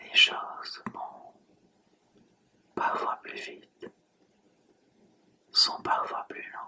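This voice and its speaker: A woman whispers at a very slow pace, with long, frequent pauses and big swings in loudness. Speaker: hypnotherapist. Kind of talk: hypnosis relaxation session. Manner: whispered, soft, slow.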